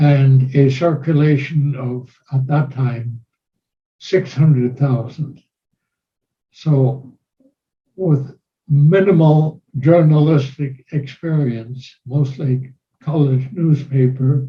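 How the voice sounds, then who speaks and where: Pausing long and often at a very slow pace, a man speaks with a fairly high pitch, fairly even intonation and a dark, mellow, somewhat breathy tone. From Germany. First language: German. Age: 90s. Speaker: war veteran. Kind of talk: interview. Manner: formal.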